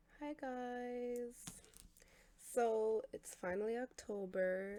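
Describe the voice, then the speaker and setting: Soft-spoken and dark, mellow in tone, a woman speaks very slowly with ordinary pitch variation. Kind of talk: ASMR oracle card reading.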